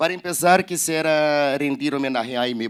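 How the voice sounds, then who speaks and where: The speaker is a man with a Portuguese accent. His pitch is fairly high. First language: Portuguese (speaking Spanish). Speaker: publisher. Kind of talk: reading aloud. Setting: online event livestream. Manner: halting.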